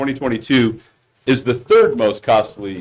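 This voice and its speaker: This is a man's voice. He speaks loudly. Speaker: insurance broker. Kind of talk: presentation at board meeting. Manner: hesitant, many fillers.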